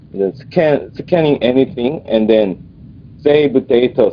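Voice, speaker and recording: Very slow speech from a man, with noticeable background noise. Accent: Korean. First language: Korean. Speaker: engineer asking a question at a conference. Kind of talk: conference Q&A question. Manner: halting.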